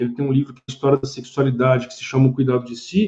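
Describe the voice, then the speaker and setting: Somewhat breathy with a dark, mellow tone, a man speaks at a fairly high pitch. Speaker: psychoanalyst and philosopher. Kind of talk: live-stream talk with viewer comments.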